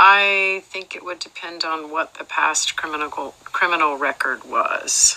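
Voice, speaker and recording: A woman speaking with hardly any pauses and big swings in loudness, amid noticeable background noise. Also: fairly slow pace. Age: 60s. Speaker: role-play juror. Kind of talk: role-play interview. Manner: hesitant, many fillers.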